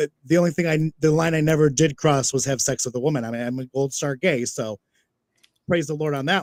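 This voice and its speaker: A man speaks in an ordinary speaking voice at a fairly quick pace, his fairly high pitch showing ordinary pitch variation, with a dry, close sound and no echo. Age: 40s. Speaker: drag performer. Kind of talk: casual interview chat.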